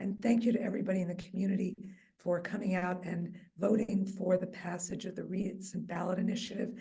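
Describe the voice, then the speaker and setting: A woman at a fairly quick pace, with fairly even intonation and audible room echo. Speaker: mayor and neighborhood association vice president. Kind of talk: public speech at community meeting. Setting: meeting hall with audience and microphone, also on Zoom.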